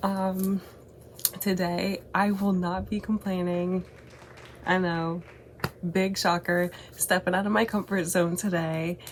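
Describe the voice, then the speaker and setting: A woman speaks very slowly at a medium pitch, with flat, monotone intonation and very even loudness. Long pauses come often, and background noise is noticeable. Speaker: YouTuber. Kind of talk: casual vlog chat.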